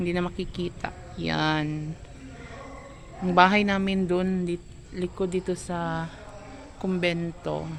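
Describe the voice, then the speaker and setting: A woman with a Cebuano accent, very slow, with long, frequent pauses, monotone and flat in intonation, over noticeable background noise. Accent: Cebuano-accented Tagalog. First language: Cebuano (speaking Tagalog). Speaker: vlogger. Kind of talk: casual vlog. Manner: halting.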